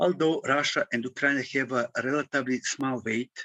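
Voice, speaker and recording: This man's voice sits at a medium pitch and keeps a fairly even intonation. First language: French. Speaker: conference speaker. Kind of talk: conference presentation. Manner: halting; formal.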